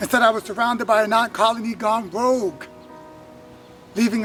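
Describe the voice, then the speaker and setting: Over music in the background, a man talks at a fairly quick pace with a high pitch. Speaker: spoken word poet. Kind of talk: spoken word poetry performance.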